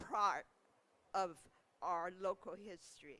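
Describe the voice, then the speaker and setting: In a Chinese accent, a woman with a bright, sharp tone speaks at a fairly slow pace. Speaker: museum leader. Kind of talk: commemoration welcome speech.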